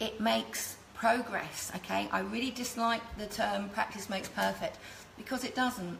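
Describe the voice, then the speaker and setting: Speaking with an English accent, a woman is heard. Audible room echo and noticeable background noise fill the recording. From England, London. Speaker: cake decorating teacher. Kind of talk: live tutorial.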